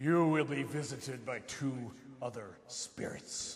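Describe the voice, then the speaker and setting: Putting on a character voice, a man speaks at medium pitch and a fairly slow pace. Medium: stage play. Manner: grave, archaic, portentous.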